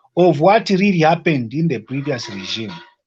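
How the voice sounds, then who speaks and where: High-pitched male voice, its pitch swinging very widely. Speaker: caller. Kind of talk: casual chat. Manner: halting. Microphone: too quiet.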